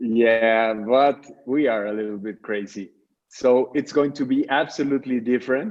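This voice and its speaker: A man with a Mexican accent talks at medium pitch and a moderate pace with ordinary pitch variation. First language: Spanish. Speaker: charity founder. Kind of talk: radio interview.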